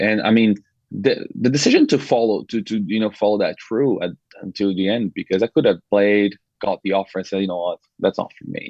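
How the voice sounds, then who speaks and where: Fairly quick and fairly even in intonation, a man speaks with a Brazilian accent. The sound is dry and close, with no echo. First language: Portuguese. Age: 20s. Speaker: podcast guest, former college soccer player. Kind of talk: casual interview chat. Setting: podcast studio. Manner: halting, frequent repetitions.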